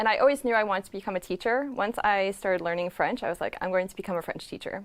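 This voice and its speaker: A woman with an American accent at medium pitch, speaking at a very fast pace with ordinary pitch variation. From United States, Connecticut. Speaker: former French teacher, expat blogger. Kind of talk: interview answer.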